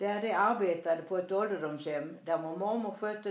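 With a Småland accent, a woman talks at a moderate pace and fairly low pitch with ordinary pitch variation, amid noticeable background noise and audible room echo. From Småland, Sweden. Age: 80s+. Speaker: grandmother telling her life story. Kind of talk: reading aloud. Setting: in her apartment.

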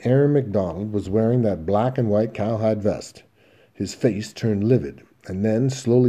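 The text is read aloud in a natural voice.

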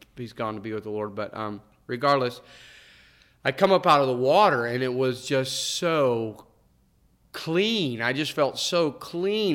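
An ordinary speaking voice from a man, medium in pitch, at a moderate pace with ordinary pitch variation. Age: 50s. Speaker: minister. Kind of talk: testimony.

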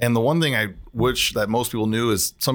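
A man's medium-pitched voice with an American accent and ordinary pitch variation, on a very clean recording with a silent background. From Bloomington, Illinois (US Midwest). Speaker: local business owner (brewery). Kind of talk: casual interview. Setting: studio.

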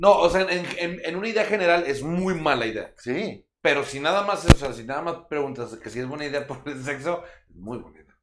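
With a Mexican accent, a man talks at a moderate pace with hardly any pauses, his fairly high pitch carried by lively intonation. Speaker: podcast co-host. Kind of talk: casual chat. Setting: live stream.

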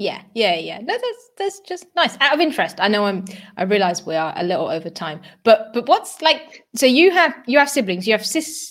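A British accent at a moderate pace, with very wide pitch swings. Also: woman, high pitch for a woman. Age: 30s. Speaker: podcast host. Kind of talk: casual interview chat. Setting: live stream.

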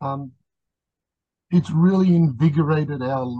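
Speaking in an Australian accent, a man has a dark, mellow tone that is somewhat breathy. His pace is moderate, and his pitch variation is ordinary. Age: 60s. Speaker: podcast guest, pup community member. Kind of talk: casual interview chat. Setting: video call.

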